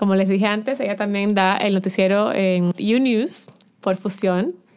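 Through noticeable background noise, a woman speaks at medium pitch and a moderate pace with fairly even intonation. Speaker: podcast host. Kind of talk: casual interview. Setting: studio.

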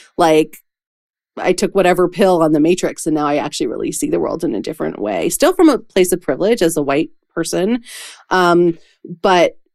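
A woman speaks at a moderate pace with a fairly low pitch. Her intonation is lively, and there is vocal fry. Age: 40s. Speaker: podcast host and professional coach. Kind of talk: casual chat.

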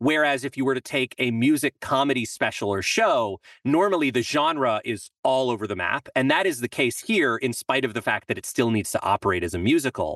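A man speaks at a fairly quick pace with hardly any pauses, using an ordinary speaking voice at medium pitch, lively intonation and a quiet background behind him. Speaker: composer and songwriter. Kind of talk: casual chat.

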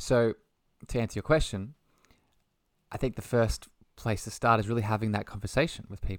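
With an Australian accent, a man speaks at a fairly quick pace with medium pitch, fairly even intonation and long, frequent pauses. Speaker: holistic health coach and spiritual mentor. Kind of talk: casual interview chat.

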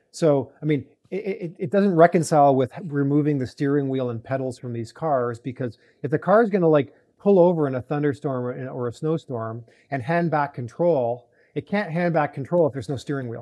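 He speaks at a fairly quick pace in a fairly high pitch with ordinary pitch variation, an unremarkable speaking voice. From Canada (Toronto). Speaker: venture capital investor, auto industry executive. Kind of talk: interview.

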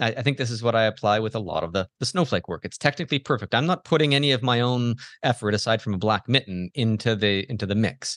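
In a Canadian accent, a man of medium pitch speaks very fast with hardly any pauses and ordinary pitch variation, sounding dry and close with no echo against a quiet background. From Canada. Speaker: macro photographer. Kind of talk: interview conversation. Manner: hesitant, many fillers.

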